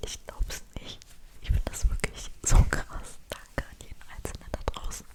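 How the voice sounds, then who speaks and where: Whispering at a fairly slow pace, a woman's loudness swings widely against noticeable background noise. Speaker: ASMR creator. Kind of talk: ASMR name-reading whisper video to camera. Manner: whispered, soft, relaxing.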